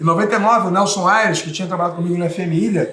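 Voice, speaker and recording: Talking at a very fast pace, a man raises and projects his voice. Audible room echo and noticeable background noise surround him. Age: 40s. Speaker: radio sports commentator. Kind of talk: interview. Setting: bar.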